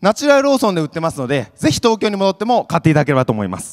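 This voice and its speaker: The man's pitch swings very wide while the background stays quiet. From Kyoto Prefecture, Japan (Yosano, Tango). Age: 20s. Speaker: startup founder, craft beer entrepreneur. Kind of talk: pitch presentation on stage. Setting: stage with audience. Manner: earnest, formal, with frequent fillers. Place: hall. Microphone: handheld.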